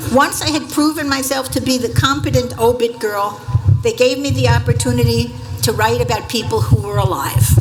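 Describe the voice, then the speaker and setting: A woman at a moderate pace in an American accent, noticeable background noise and audible room echo around her. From Staten Island, New York. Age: 70s. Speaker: former journalist, honorary degree recipient. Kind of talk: commencement acceptance speech.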